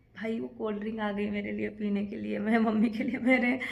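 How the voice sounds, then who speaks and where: Somewhat breathy and fairly high in pitch, a woman talks at a moderate pace. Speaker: vlogger. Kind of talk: casual vlog monologue. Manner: conversational.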